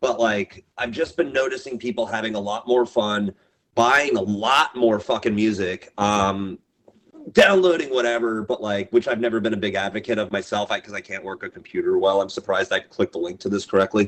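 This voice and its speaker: A man talks fairly quickly in an unremarkable speaking voice. His medium pitch has ordinary pitch variation. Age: 40s. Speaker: record label owner and show booker. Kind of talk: casual podcast interview. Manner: casual, profane, rambling speech with fillers.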